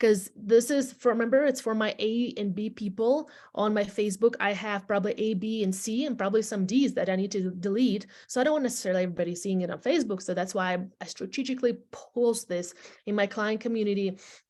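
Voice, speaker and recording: A woman's fairly high, very fast speech in a non-native accent, with ordinary pitch variation and a very clean recording over a silent background. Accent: foreign. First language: not English. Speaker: real estate agent and team leader. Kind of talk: training presentation to agents. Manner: animated, repetitive address to audience.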